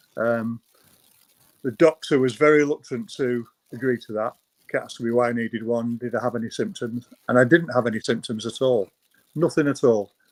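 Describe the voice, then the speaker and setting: The recording is dry and close, with no echo. A man's medium-pitched voice varies in pitch in an ordinary way. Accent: Manchester. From northern England, Stockport near Manchester. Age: 60s. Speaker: retired cancer patient, program client. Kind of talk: personal testimony in interview.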